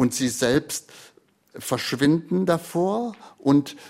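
Lively intonation from a man. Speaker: retired literary radio editor and host. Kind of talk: interview. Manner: spontaneous free-flowing speech.

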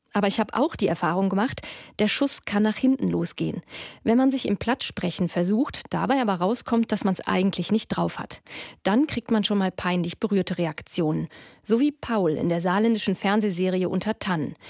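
In a very clean recording with a silent background and dry, close sound without echo, a woman uses an unremarkable speaking voice at medium pitch, with ordinary pitch variation and a moderate pace. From Ruhr area, Essen. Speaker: radio reporter. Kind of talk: radio feature narration.

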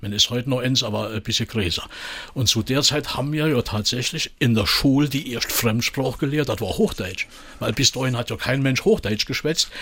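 A man with a Saarland accent speaks with ordinary pitch variation over noticeable background noise. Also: medium pitch for a man, moderate pace. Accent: Marpingen Saarland dialect. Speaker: comedian and musician. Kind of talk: casual chat.

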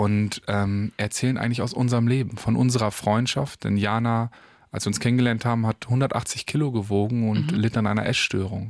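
A man has a plain, everyday voice at a medium pitch. He speaks at a fairly quick pace with fairly even intonation and very even loudness. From Paderborn, Germany. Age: young. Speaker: singer-songwriter. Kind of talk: radio interview. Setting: radio studio.

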